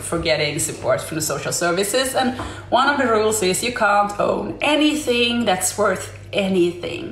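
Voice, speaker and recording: Speaking at a fairly slow pace with lively intonation and a Swedish accent, a woman is heard amid noticeable background noise and audible room echo. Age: 40s. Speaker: livestreamer. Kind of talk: casual live stream monologue. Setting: live stream. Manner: halting.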